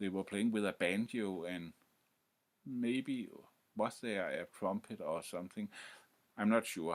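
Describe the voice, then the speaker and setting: With a Danish accent, a man speaks fairly slowly in a fairly low voice with ordinary pitch variation. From Denmark. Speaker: music history youtuber. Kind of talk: informal lecture to camera. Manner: halting, many fillers and restarts.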